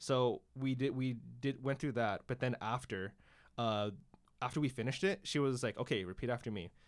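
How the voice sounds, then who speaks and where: Here a man speaks with an unremarkable speaking voice at a medium pitch. His pace is moderate, his pitch variation ordinary, and the recording very clean with a silent background. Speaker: engineering student podcast co-host. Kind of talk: casual chat.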